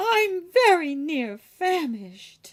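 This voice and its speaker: Using a put-on character voice, a woman goes extremely high in pitch with very wide pitch swings. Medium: read story. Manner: plain, rustic.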